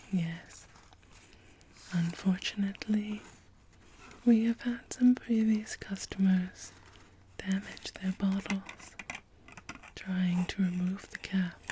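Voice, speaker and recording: Someone whispers softly at a very slow pace, with long, frequent pauses. Noticeable background noise runs beneath the voice. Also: woman. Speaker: perfume counter consultant (role play). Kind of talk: ASMR role play, perfume store consultant talking to a customer. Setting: ASMR recording with bottle, tapping and spraying sounds. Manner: soft-spoken, whispered.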